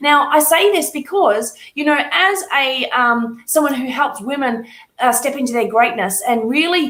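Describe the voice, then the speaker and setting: Lively intonation from a woman at a high pitch and moderate pace, with audible room echo. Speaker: fitness and business coach. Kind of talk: motivational talk to camera.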